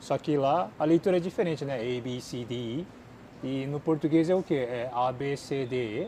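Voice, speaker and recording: A man's fairly high, dark and mellow voice with a Japanese accent and ordinary pitch variation. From Japan, with childhood stays in Brazil. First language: Japanese (speaking Portuguese). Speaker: YouTuber and language teacher. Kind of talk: Q&A chat.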